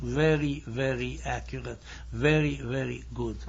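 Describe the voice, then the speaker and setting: A man is speaking. Room echo can be heard. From Hungary. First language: Hungarian and German. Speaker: lecturer. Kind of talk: lecture. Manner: formal.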